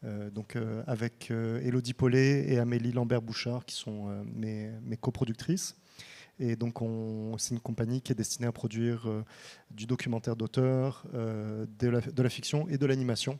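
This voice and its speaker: Fairly slow delivery from a man with a dark, mellow tone, medium pitch and fairly even intonation. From France. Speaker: film director and producer. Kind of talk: panel discussion. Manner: halting, many fillers.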